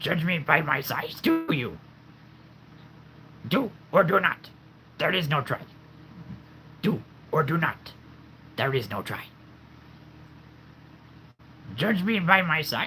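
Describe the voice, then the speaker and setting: A man's put-on character voice, croaky and high-pitched, at a fairly slow pace with long, frequent pauses over clear background noise. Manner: oddly phrased.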